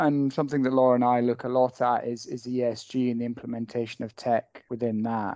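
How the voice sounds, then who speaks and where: Here is a man with a Scottish accent and a medium pitch. He talks at a moderate pace. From Scotland. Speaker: technology lawyer. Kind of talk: casual professional discussion.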